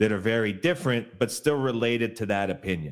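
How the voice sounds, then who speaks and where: A man is talking. The pitch moves in an ordinary way. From Canada. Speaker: professional sports bettor. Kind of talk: casual sports betting interview.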